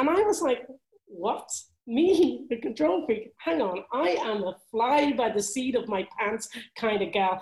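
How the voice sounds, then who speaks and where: A woman's fairly high voice in a Dublin accent, fairly slow, with very wide pitch swings. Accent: Irish (Dublin). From Ireland, Dublin. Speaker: motivational speaker and author. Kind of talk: interview.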